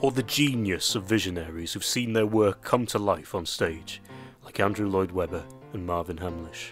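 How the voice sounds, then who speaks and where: Music plays in the background as a man speaks. His pitch is very deep and low, with ordinary pitch variation. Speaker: radio presenter. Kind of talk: music show introduction.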